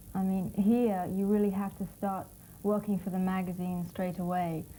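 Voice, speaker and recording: With music in the background, a woman in a London accent speaks at a medium pitch and moderate pace with monotone, flat intonation. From London, England. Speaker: fashion model. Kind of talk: interview.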